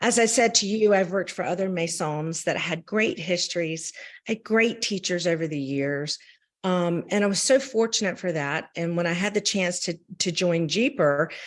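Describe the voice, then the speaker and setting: The speaker has a Southern US accent and talks at a moderate pace with ordinary pitch variation. The background is quiet. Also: woman, fairly low pitch for a woman. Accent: Southern US accent on her French. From US South. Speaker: champagne brand representative. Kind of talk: interview. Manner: hesitant, many fillers.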